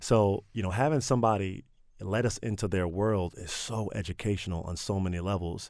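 A man with an American accent speaks in an unremarkable speaking voice, fairly low in pitch with ordinary pitch variation, at a fairly quick pace on a very clean recording with a silent background. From Maryland, Prince George's County. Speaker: nonprofit director. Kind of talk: radio interview.

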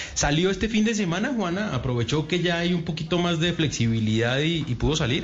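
With audible room echo and noticeable background noise, a man talks at a fairly quick pace with hardly any pauses, using a high pitch, lively intonation and very even loudness. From Uruguay. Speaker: radio host. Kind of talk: casual chat.

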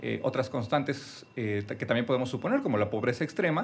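Lively intonation runs through a man's unremarkable speaking voice as he talks at a moderate pace. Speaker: anthropologist. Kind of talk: interview, academic explanation. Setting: studio.

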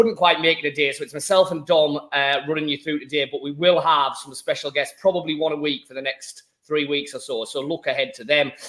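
A man with a Teesside accent, at a moderate pace, with ordinary pitch variation. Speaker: football podcast host. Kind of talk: casual chat. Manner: relaxed, with fillers.

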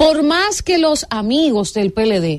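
The background is quiet around a woman's voice. She talks at a very slow pace. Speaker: radio host. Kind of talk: talk radio panel. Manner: energetic.

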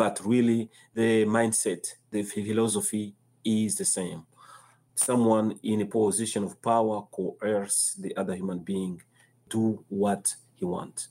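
A man with a fairly low pitch and a dark, mellow tone speaks fairly slowly with fairly even intonation. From Democratic Republic of Congo. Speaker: nonprofit executive director. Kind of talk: interview. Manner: halting.

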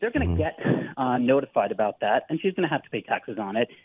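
An American accent marks this man's voice. He speaks at a very fast pace. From California. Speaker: caller. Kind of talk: challenging call-in question. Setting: phone call. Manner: halting.

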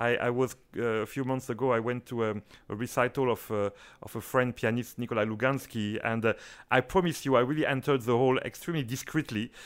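A man with a French accent at medium pitch, with fairly even intonation and a fairly quick pace, in a very clean recording with a silent background. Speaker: orchestra conductor. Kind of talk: interview. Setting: studio.

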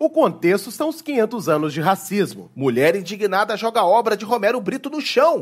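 At a moderate pace and with hardly any pauses, a man with a high pitch speaks in very wide pitch swings. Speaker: comedian. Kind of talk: comedic sketch chat.

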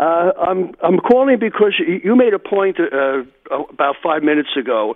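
A man with a New York accent speaks at a fairly slow pace, his intonation lively. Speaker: caller. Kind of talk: radio call-in. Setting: phone call. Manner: halting.

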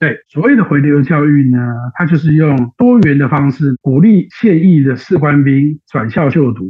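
At a moderate pace, a man uses lively intonation in an unremarkable speaking voice. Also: fairly high pitch for a man. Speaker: political aide and analyst. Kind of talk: interview analysis.

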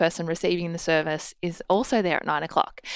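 A woman with an Australian accent talks at a very fast pace and a fairly low pitch, with fairly even intonation. The recording is very clean, with a silent background. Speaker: podcast producer. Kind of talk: storytelling.

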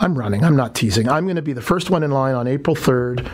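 Ordinary pitch variation in a Toronto accent, with noticeable background noise. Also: man. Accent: Canadian (Toronto). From Toronto, Canada. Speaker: politician, mayoral candidate. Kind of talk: radio interview. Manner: animated.

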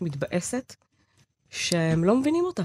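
A woman's somewhat breathy voice at a fairly low pitch and a very slow pace, with a dry, close sound and no echo. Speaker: podcast co-host. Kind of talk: casual chat.

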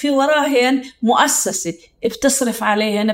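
The woman here speaks with a high pitch. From Palestine. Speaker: sociologist and researcher. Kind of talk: interview.

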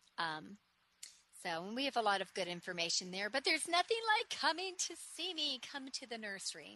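There is noticeable background noise as a woman talks with lively intonation and a warm, upbeat tone. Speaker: nursery owner and radio host. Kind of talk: radio sales pitch, street seller style. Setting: radio studio. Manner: warm, upbeat, chatty; enthusiastic, rattling off lists.

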